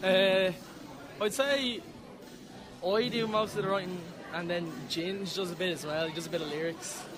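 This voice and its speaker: A man with an Irish accent speaks at a fairly slow pace in a high voice, with ordinary pitch variation, long and frequent pauses, audible room echo and noticeable background noise. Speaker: band lead singer. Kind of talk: casual interview. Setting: live gig venue. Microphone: too far from the mic.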